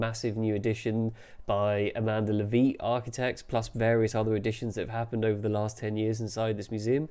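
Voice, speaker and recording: Speaking in a London accent, a man keeps a medium pitch with monotone, flat intonation. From London, England. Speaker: architectural journalist. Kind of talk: solo video commentary. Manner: casual, with frequent fillers. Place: home room. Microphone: webcam.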